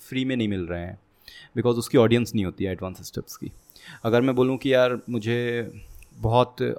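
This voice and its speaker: This man has a medium pitch with ordinary pitch variation. The recording is very clean, with a silent background. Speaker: programming content creator. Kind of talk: casual interview.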